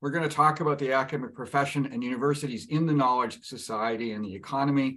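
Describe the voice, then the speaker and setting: Very fast speech comes from a man. His intonation stays fairly even. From Canada. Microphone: video call.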